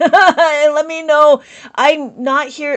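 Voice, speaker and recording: A woman speaks loudly. Her tone is enthusiastic and passionate. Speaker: abacus teacher. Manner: enthusiastic, passionate.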